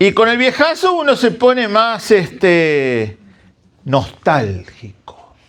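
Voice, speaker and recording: Very slowly, a man with a high voice speaks with very wide pitch swings but very even loudness. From Argentina, Santa Fe (interior). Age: 60s. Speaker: guest preacher. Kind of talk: sermon.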